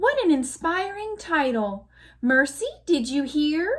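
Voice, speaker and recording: A woman's put-on character voice, high and squeaky, with very wide pitch swings at a fairly slow pace. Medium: read story. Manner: sweet, gushing.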